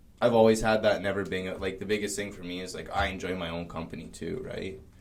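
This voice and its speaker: A man's very deep, low voice with fairly even intonation and big swings in loudness, amid noticeable background noise and audible room echo. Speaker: cannabis store worker and podcast co-host. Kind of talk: casual chat. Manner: halting.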